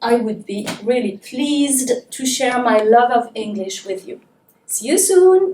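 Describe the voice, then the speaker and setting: Her voice high and her pace very slow, a woman speaks with very wide pitch swings and big swings in loudness. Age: 40s. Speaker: English teacher. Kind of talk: promotional self-introduction.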